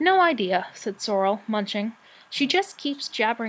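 The voice is an unforced reading voice. It reads the words aloud.

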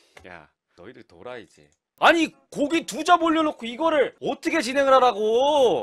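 A man speaks at an extremely high pitch and a moderate pace, with ordinary pitch variation and big swings in loudness. Light background noise sits beneath him. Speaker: professional event MC. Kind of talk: casual talk to camera. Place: home room. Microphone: studio mic.

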